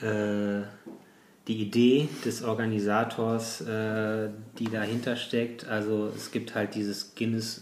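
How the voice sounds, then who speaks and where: Speaking very slowly, a man holds a medium pitch with monotone, flat intonation. Audible room echo surrounds his voice. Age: 40s. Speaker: bicycle courier and ultra-distance cyclist. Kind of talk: interview. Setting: at home.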